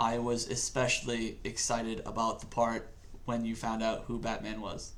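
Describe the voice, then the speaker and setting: A man with an American accent at a moderate pace, medium-pitched, flat and monotone, with audible room echo. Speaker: podcast host, military service member. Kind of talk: casual chat. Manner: loud.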